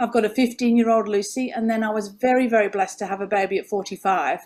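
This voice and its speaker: The speaker talks at a fairly quick pace in an English accent. The pitch varies in an ordinary way. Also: woman. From England. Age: 50s. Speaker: former nurse, health coach. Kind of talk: interview conversation. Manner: animated.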